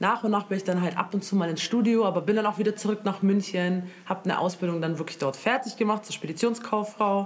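A woman's medium-pitched voice, fairly quick and fairly even in intonation, amid noticeable background noise. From Germany, Moroccan family. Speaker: singer. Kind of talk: casual chat.

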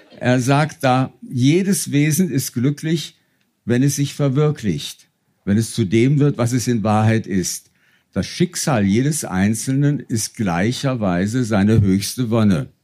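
A man's medium-pitched voice with a dark, mellow tone, lively intonation, very even loudness and a very slow pace, on a very clean recording with a silent background. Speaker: stage reader. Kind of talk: reading aloud. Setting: stage with audience.

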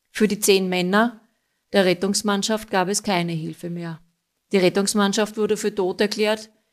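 Very clean recording with a silent background: a woman of medium pitch at a moderate pace, monotone and flat in intonation. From Austria, Styrian mining town. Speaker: listener contributor. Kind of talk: recorded narration of a case.

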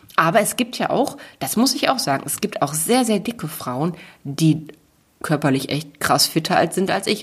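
At a moderate pace, a woman speaks in a somewhat breathy voice with very wide pitch swings. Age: 30s. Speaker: author and motivational speaker. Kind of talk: casual chat. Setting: makeshift home podcast booth.

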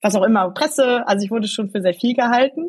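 Lively intonation from a somewhat breathy woman's voice. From Germany, Eschweiler near Aachen (Rhineland). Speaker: politician. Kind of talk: interview.

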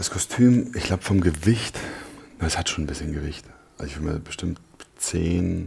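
A man's very deep, low voice at a moderate pace, ordinary in pitch variation, with long, frequent pauses and noticeable background noise. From Berlin, Germany (Neukölln). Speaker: actor. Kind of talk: interview. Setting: studio.

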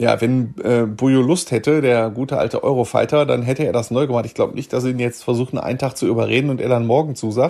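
With hardly any pauses, the words pour out at a very fast pace in a fairly even intonation. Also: man, medium pitch for a man. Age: 40s. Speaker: sports reporter. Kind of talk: casual chat.

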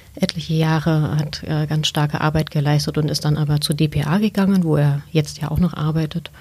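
Through noticeable background noise, a woman with a very deep, low pitch talks at a moderate pace in a flat monotone, hardly pausing. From Saxony, Chemnitz. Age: 40s. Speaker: newspaper editor. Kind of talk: interview.

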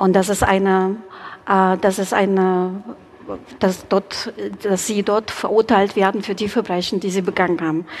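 At a fairly slow pace broken by long, frequent pauses, a woman speaks in a monotone with flat intonation. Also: medium pitch for a woman. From Ukraine, Kyiv. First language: Russian and Ukrainian (speaking German). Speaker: community spokesperson. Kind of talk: panel debate. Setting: live event in a church with audience. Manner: halting.

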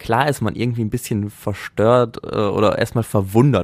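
In a normal speaking voice, a man talks at a moderate pace and medium pitch. The sound is dry and close, with no echo. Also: very clean recording, silent background. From Germany, Essen (Ruhr area). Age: 20s. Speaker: androgynous model and stylist. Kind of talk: casual chat. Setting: studio.

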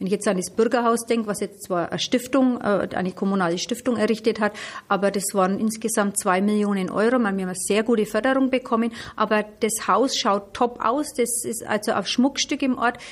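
At a fairly quick pace, a woman with a normal speaking voice talks in a fairly high pitch with fairly even intonation. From Middle Franconia, Germany. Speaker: mayor. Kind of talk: interview. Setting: on location.

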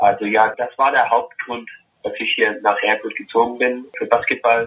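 The speaker is a man. He talks at a moderate pace. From Germany until age 11, then USA. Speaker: professional basketball player. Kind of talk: interview. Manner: halting, searches for German words.

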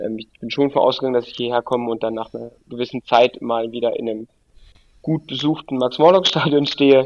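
An unremarkable speaking voice moves at a fairly quick pace with big swings in loudness and a dry, close sound with no echo. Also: man, medium pitch for a man, fairly even intonation. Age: 30s. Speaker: football coach. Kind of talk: interview.

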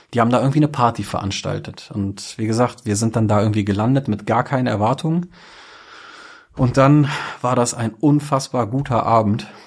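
Slightly breathy, a man talks fairly quickly at medium pitch with ordinary pitch variation. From Germany, Braunschweig. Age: 30s. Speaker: DJ and club operator. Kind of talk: podcast interview. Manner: hesitant, many fillers.

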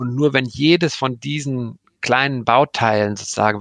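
Heard in a dry, close sound with no echo, a man talks in a medium pitch. He has a plain, everyday voice with ordinary pitch variation. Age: 40s. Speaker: streaming content executive. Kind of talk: interview. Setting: video call.

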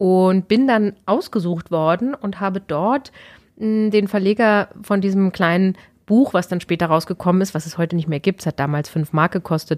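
A woman speaks in a normal speaking voice with ordinary pitch variation. The recording is very clean with a silent background, and the sound is dry and close with no echo. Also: medium pitch for a woman, moderate pace. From Berlin, Germany. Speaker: author and dramaturge. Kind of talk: interview conversation. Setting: studio.

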